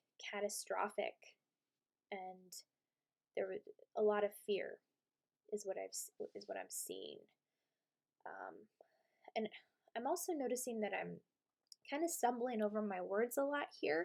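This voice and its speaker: A woman speaks at a moderate pace with long, frequent pauses. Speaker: tarot reader and channeler. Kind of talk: tarot reading. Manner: halting.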